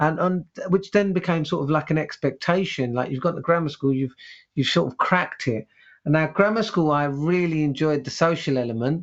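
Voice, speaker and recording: A man with a London accent, fairly high in pitch, at a fairly quick pace with ordinary pitch variation. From East London, England. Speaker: headteacher and author. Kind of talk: interview conversation. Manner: halting, many repetitions and fillers; passionate, animated.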